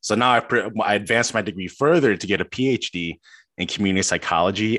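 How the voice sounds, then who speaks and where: A man with an American accent, very fast pace, fairly low pitch with ordinary variation and a bright, sharp tone, in a very clean recording with a silent background and a dry, close sound with no echo. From Chicago, US. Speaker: doctoral student. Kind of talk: interview. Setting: call.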